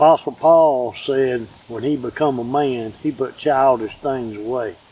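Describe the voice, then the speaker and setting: A man's medium-pitched voice in a Southern accent, dark and mellow in tone, with fairly even intonation at a fairly slow pace. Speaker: father.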